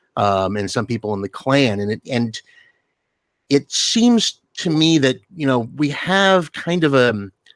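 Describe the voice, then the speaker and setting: A man's pitch swings very widely. The recording is very clean, with silence behind him. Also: medium pitch for a man, dry, close sound with no echo. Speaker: game player on forum. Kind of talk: round table discussion. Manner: loud; halting.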